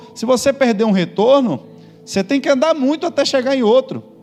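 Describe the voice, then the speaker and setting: Fairly quick speech with a Bahian accent against noticeable background noise. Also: man. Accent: Bahian Brazilian Portuguese. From Bahia, Brazil. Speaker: pastor. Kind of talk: sermon.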